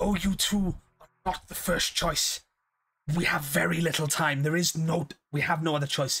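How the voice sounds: A put-on character voice at middle pitch moves at a moderate pace. Long, frequent pauses break up the speech.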